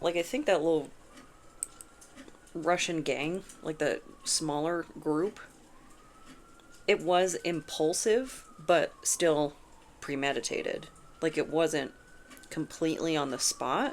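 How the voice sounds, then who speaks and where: Long pauses come often in this very slowly paced speech. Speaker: tarot reader. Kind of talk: tarot reading monologue. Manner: casual, conversational; halting, stuttering over words.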